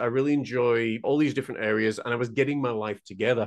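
A man talks very fast with ordinary pitch variation against a quiet background. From northern England, Huddersfield, West Yorkshire. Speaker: painter and mental health mentor. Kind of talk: casual interview chat. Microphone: video call.

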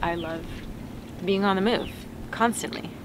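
A woman's voice comes through dry with no echo, over light background noise. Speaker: travel vlogger. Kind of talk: casual vlog chat. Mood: relaxed, cheerful. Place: boat.

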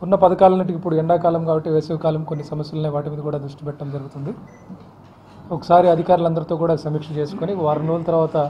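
A man's fairly high voice, monotone and flat, over light background noise. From Vijayawada, Andhra Pradesh, India; Andhra Pradesh, India. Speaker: district collector. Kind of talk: press interview. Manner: halting. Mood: calm, measured. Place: office. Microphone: handheld.

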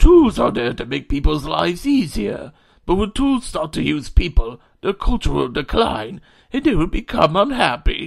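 Putting on a character voice, a man speaks fairly slowly and fairly high, with big pitch swings, vocal fry and a slightly husky edge.

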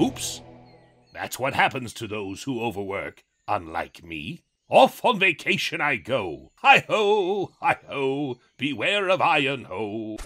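A man talks at a fairly slow pace and a fairly high pitch, with very wide pitch swings and big swings in loudness. The recording is very clean, with a silent background. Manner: smug, carefree.

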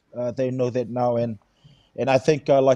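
A man's medium-pitched, dark, mellow voice in monotone, flat intonation at a moderate pace, dry with no echo over a quiet background. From Fiji. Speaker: rugby head coach. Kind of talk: casual chat. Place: home room. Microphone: video call.

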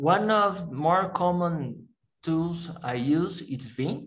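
A man speaks with a Portuguese accent and ordinary pitch variation. The background is quiet. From Brazil. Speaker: software developer; interviewee. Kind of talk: interview; interview answer. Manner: halting, many fillers. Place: home room. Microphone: headset.

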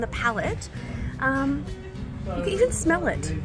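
The speaker is a woman, going at a moderate pace. Behind her, music plays clearly. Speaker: travel vlogger. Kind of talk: casual vlog chat. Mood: relaxed, pleased. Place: garden. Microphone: phone near.

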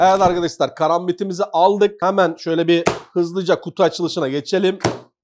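Here a man talks at a fairly quick pace. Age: 30s. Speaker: YouTuber, tech product reviewer. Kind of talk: product review tutorial. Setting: office terrace, windows closed. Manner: casual, chatty.

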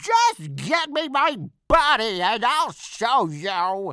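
A man uses a put-on character voice at an extremely high pitch with very wide pitch swings. He speaks at a very slow pace. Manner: whiny, irritable.

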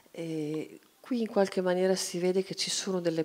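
A woman with an unremarkable speaking voice talks at a moderate pace with fairly even intonation. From Italy. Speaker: cartoonist; guest. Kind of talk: panel discussion. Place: hall. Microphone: handheld.

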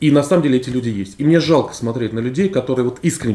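His dark, mellow tone moving through ordinary pitch variation, a man speaks at a very fast pace. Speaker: economist; guest. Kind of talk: panel discussion. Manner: halting.

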